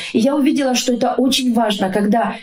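A woman at fairly high pitch and fairly quick pace with ordinary pitch variation, with audible room echo and noticeable background noise. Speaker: social worker and family counselor. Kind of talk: interview about faith and family.

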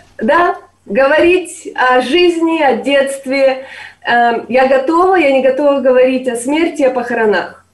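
A woman's high-pitched voice at a very slow pace, with audible room echo. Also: ordinary pitch variation, very even loudness. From eastern Ukraine, Sloviansk. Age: 30s. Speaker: university lecturer. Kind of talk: interview.

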